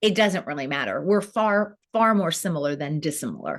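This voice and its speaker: A woman's normal speaking voice of medium pitch, with lively intonation at a moderate pace, on a very clean recording with a silent background. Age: 50s. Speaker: entrepreneur, founder of women's online platform. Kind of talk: interview conversation.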